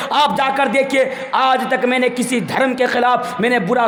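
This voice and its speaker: A raised, projected voice rings out with audible room echo over noticeable background noise. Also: man. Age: 20s. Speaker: Islamic preacher. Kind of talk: religious speech. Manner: impassioned oratory.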